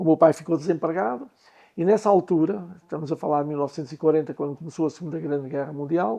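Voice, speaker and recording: A man's very fast speech, fairly high in pitch with a dark, mellow tone and ordinary pitch variation, over a quiet background. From Portugal, Lousã. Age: 80s+. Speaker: business owner. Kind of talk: interview storytelling.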